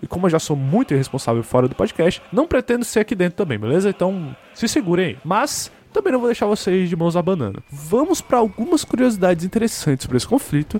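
A man speaks very fast at a high pitch, his voice making very wide pitch swings. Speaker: history podcaster. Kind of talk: scripted narration. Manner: casual, conversational.

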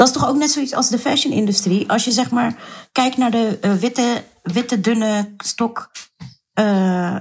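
A woman's fairly high voice at a very slow pace. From Netherlands, Surinamese Hindustani family. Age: 30s. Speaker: activist and writer. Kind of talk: interview.

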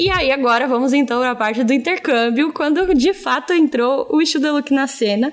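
Over music in the background, the speaker keeps a very even loudness and a moderate pace, with ordinary pitch variation and hardly any pauses. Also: woman, high pitch for a woman. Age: 20s. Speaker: audiovisual content creator. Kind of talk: job interview-style podcast chat. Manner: animated.

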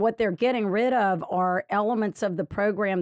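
With a Louisiana accent, a woman speaks at a moderate pace with ordinary pitch variation, recorded dry and close with no echo against a quiet background. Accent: Louisiana Southern. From Louisiana, Lafayette. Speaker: state solicitor general and political candidate. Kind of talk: interview.

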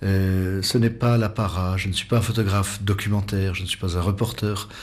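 This man's voice is somewhat breathy, and his intonation stays monotone and flat. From French Alps. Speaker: travel photographer. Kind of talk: interview.

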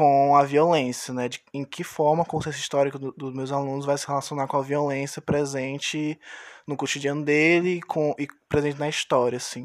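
In a dry, close recording with no echo, a man speaks at a fairly high pitch with monotone, flat intonation. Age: 20s. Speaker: history student, podcast co-host. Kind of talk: podcast introduction.

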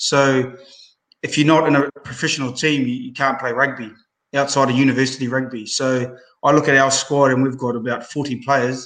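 Flat and monotone, a man talks with a New Zealand accent. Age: 30s. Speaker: professional rugby player. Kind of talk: casual chat.

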